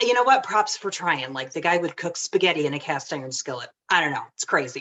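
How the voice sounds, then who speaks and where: A woman with a Michigan accent, a fairly low pitch, and ordinary pitch variation. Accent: Michigan accent, nasal. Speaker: home cook presenting a recipe. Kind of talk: casual demonstration talk.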